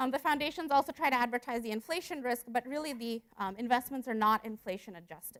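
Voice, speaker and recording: A woman at a high pitch, very fast and lively in intonation, with a dry, close sound and no echo. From India, moved to US at 12. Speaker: economics researcher. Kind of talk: conference presentation. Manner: hesitant fillers.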